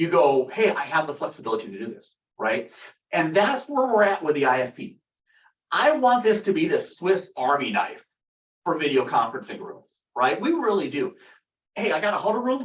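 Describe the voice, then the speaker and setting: This man talks loudly at a high pitch, his pitch swinging very widely, with long, frequent pauses. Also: moderate pace. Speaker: company product director presenting. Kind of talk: webinar product discussion. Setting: video call webinar. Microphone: echoey room.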